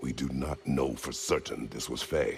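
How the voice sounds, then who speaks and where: A man growls in a put-on character voice, pitched very deep and low. He speaks at a moderate pace over clear background noise. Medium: video game. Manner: terse.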